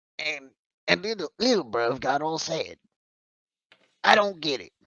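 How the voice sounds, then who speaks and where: Using a put-on character voice, a man pitches it fairly high. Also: moderate pace. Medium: actual play. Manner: hesitant, rambling.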